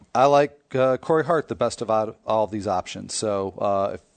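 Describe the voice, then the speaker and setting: An unremarkable speaking voice at a moderate pace, with a dry, close sound with no echo and a quiet background. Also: man. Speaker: fantasy baseball analyst. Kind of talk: casual chat.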